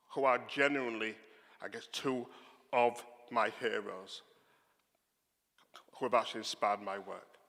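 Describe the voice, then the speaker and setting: A man talks with a Yorkshire accent at medium pitch and a fairly slow pace. His tone is bright and sharp, with fairly even intonation. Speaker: theologian giving a lecture. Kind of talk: public talk, informal asides.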